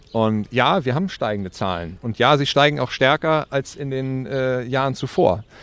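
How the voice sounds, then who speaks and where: Delivered at a moderate pace with hardly any pauses, this is a plain, everyday voice with lively intonation. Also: man, medium pitch for a man. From northern Germany (Wedel, near Hamburg). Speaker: angling association executive. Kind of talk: interview. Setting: outdoors by the water.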